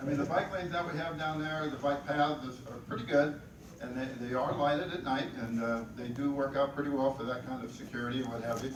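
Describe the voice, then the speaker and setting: Noticeable background noise and audible room echo surround this recording. A man speaks at a fairly quick pace in a fairly high pitch. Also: fairly even intonation. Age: 70s. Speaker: bicycle advocate. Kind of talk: presentation.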